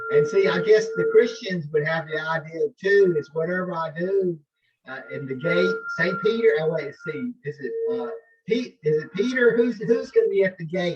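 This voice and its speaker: A man with a high pitch, lively intonation and big swings in loudness, music in the background. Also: moderate pace. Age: 70s. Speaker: professor and yoga practitioner. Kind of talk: casual interview. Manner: halting.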